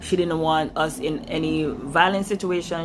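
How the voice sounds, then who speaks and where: A woman speaks with a Jamaican accent at a moderate pace. Her pitch sits fairly low. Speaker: vlogger. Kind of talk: personal story talk to camera. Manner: casual, chatty.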